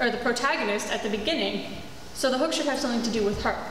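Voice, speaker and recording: Audible room echo and light background noise surround a woman speaking with high pitch. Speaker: presenter. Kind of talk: school presentation talk. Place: hall.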